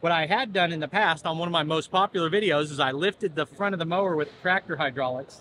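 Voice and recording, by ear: A man with a fairly high pitch, a bright, sharp tone and a fast pace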